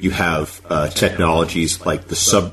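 A man's very deep, low voice in a flat monotone, over noticeable background noise. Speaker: podcast host. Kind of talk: interview.

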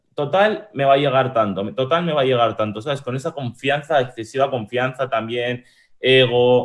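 A man speaks at medium pitch in an unremarkable speaking voice. His pitch varies in an ordinary way. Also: moderate pace. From Spain, moved from Uruguay at age 6. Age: 20s. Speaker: e-commerce entrepreneur. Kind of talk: casual interview chat.

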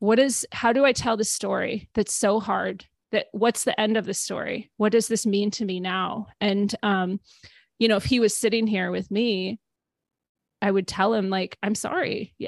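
A woman with an American accent and a normal speaking voice, medium in pitch, at a moderate pace with fairly even intonation, in a dry, close sound with no echo against a quiet background. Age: 40s. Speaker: podcast host and narrative therapy coach. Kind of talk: casual interview chat.

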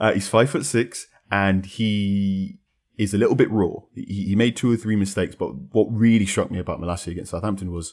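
A man talks at a fairly quick pace in a plain, everyday voice. His pitch is fairly low. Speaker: football journalist. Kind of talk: casual chat.

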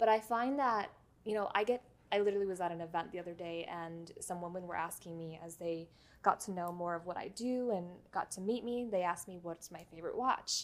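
A woman with an American accent and an ordinary speaking voice, at a fairly quick pace, with big swings in loudness and ordinary pitch variation. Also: medium pitch for a woman. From New York City (the Bronx). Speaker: watch collector and YouTuber. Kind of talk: casual interview chat.

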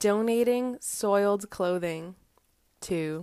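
A woman's medium-pitched voice with an American accent, very slow pacing and ordinary pitch variation, in a very clean recording with a silent background. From Boston area, US. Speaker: fashion podcast host. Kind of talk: casual solo monologue.

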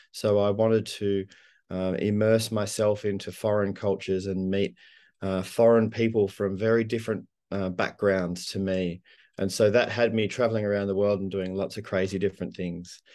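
Against a quiet background, the speech moves at a moderate pace with a dark, mellow tone and flat, monotone intonation. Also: man, fairly low pitch for a man. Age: 50s. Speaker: executive coach and author. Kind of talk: interview.

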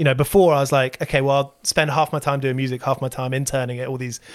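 A man talks at a very fast pace. His voice is fairly high. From southern England. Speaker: musician and podcast host. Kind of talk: casual interview chat.

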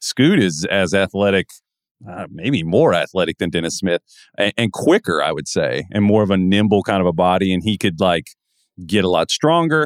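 An unremarkable speaking voice with lively intonation moves at a moderate pace, recorded very cleanly against a silent background with a dry, close sound and no echo. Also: man, fairly low pitch for a man. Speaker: podcast host, NBA draft analyst. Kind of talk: casual sports talk.

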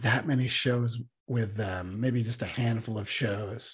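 Somewhat breathy and fairly even in intonation, a man speaks at a medium pitch in a very clean recording with a silent background. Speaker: comics writer. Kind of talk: casual interview chat. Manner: hesitant, filler words.

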